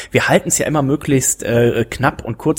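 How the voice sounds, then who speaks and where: In a very clean recording with a silent background, a man sounds somewhat breathy, the sound dry and close with no echo. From Germany, rural farm. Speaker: podcast host. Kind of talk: casual chat.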